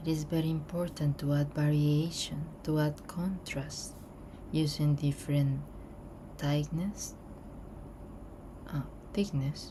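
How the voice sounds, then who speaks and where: A woman's very deep, low, dark and mellow voice in a relaxed tone, somewhat breathy, at a very slow pace with long, frequent pauses, very even loudness and monotone, flat intonation. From Colombia. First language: Spanish. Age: 30s. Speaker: artist. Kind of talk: casual chat while drawing.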